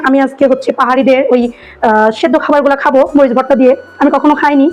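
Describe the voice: Speaking at a very fast pace, a woman with a high voice keeps her intonation fairly even.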